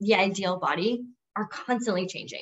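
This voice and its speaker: At a moderate pace, a woman speaks in a plain, everyday voice with lively intonation. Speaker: podcast host and entrepreneur. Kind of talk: casual interview chat.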